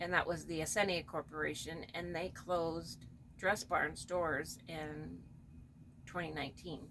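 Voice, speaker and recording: A woman with fairly low pitch talks at a moderate pace in a flat, monotone line. Her bright, sharp tone carries vocal fry. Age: 60s. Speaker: doll collector channel host. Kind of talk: casual personal talk. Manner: halting, with many fillers.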